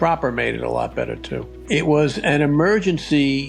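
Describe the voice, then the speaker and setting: A man speaking at a moderate pace with music in the background. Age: 70s. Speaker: retired financial advisor, Airbnb host. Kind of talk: interview answer.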